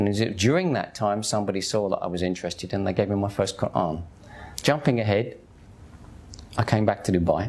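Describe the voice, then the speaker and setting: A man speaks very fast in a Cockney accent, yet with long, frequent pauses. His pitch varies in an ordinary way. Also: fairly low pitch for a man. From East End of London, Hackney. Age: 50s. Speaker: convert to Islam sharing his story. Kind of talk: personal testimony. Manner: casual, conversational.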